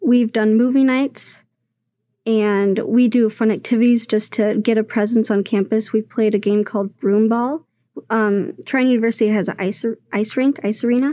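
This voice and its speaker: A woman speaks at a fairly high pitch in a dark, mellow tone. Her intonation is fairly even, and the background is quiet. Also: moderate pace. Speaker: engineering student. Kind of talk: casual radio interview.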